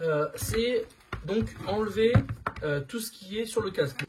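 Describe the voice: A man talks at a moderate pace with a high pitch. His voice has a husky, rough edge and a slightly mellow tone.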